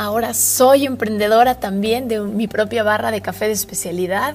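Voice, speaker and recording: Against noticeable background noise, a woman with a Mexican accent speaks at medium pitch with ordinary pitch variation. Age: 30s. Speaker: podcast host. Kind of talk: casual monologue. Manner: animated.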